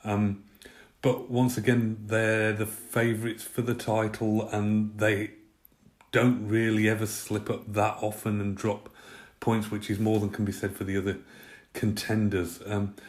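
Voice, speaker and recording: In an English accent, a man speaks at a fairly slow pace with a fairly low pitch and monotone, flat intonation. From Britain. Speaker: football pundit. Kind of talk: prepared football analysis talk. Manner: many fillers (uh, um).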